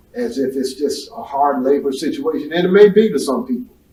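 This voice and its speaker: A man's high-pitched voice at a moderate pace, over noticeable background noise. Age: 60s. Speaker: carpet cleaning business owner. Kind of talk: casual chat.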